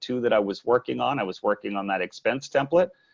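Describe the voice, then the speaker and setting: Here a man talks at a fairly quick pace with medium pitch. The sound is dry and close, with no echo. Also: quiet background. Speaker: software product demonstrator, managing director. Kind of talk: software demo webinar. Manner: fast.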